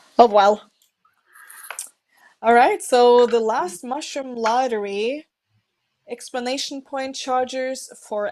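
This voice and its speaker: A speaker with a non-native accent talks at a very slow pace. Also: woman. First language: not English. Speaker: esports commentator. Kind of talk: live commentary.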